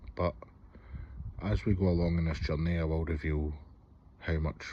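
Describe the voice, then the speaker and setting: A man's very deep, low, dark and mellow voice in a Scottish accent, somewhat breathy, with fairly even intonation and a moderate pace. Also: quiet background. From Scotland, Hamilton near Glasgow. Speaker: vlogger. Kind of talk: personal vlog, confessional. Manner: hesitant, with fillers.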